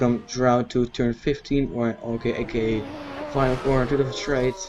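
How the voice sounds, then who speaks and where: Over background music, a man speaks at medium pitch with fairly even intonation. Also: moderate pace. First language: not English. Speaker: gaming YouTuber. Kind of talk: gameplay commentary. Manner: halting.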